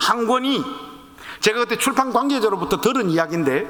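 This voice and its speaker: A man with an extremely high pitch uses a raised, projected voice and an animated tone, with audible room echo and noticeable background noise. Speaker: pastor; pastor and author speaking at teacher training. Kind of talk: sermon-style talk to church teachers.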